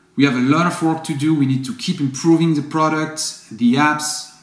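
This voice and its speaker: A man with a non-native accent speaks at a fairly high pitch with ordinary pitch variation, and there is audible room echo. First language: not English. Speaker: company founder. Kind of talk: video update to customers. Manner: apologetic, earnest.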